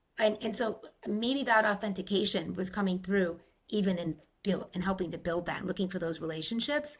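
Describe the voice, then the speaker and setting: Somewhat breathy and with an American accent, a woman talks at a fairly quick pace with ordinary pitch variation. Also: medium pitch for a woman. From Rhode Island, US. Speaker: podcast host. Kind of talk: interview conversation.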